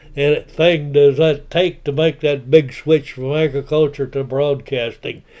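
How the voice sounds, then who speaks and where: The speaker has a West Texas accent and a monotone, flat intonation. The pace is fairly slow, with hardly any pauses. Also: man, fairly high pitch for a man. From Texas, Lubbock area. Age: 90s. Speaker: retired broadcaster and YouTuber. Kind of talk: personal life story monologue. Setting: self-recorded home video. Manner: halting, many filler words.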